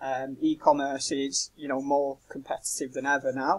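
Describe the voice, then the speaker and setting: With a British accent, a man speaks in a monotone, flat intonation at a fairly high pitch and a moderate pace. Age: 30s. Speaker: web designer. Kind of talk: website review tutorial. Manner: casual, many fillers.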